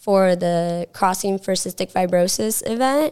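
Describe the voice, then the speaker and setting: On a very clean recording with a silent background, a woman with an American accent speaks at a medium pitch and a fairly slow pace. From US South, South Carolina. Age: 20s. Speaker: singer living with cystic fibrosis. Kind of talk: casual interview. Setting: studio.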